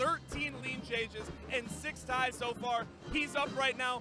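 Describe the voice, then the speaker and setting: Over music in the background, a man with an extremely high pitch projects a raised voice with ordinary pitch variation. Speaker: sideline reporter. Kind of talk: sports broadcast sideline report.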